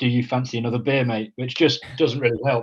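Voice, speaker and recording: A man with a medium pitch speaks in a monotone, flat way that sounds somewhat breathy. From northern England. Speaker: mental health charity co-founder. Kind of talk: casual interview. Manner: halting, many fillers.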